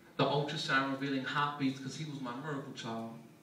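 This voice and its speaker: A man talks in a fairly high pitch with a monotone, flat intonation. Noticeable background noise runs underneath. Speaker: spoken word poet. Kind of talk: spoken word poetry performance.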